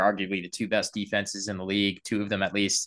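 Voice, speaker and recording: A man with an American accent, fairly quick and fairly low-pitched, his tone bright and sharp against a quiet background. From South Carolina, Columbia. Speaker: sports podcast host. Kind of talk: casual chat. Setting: video call.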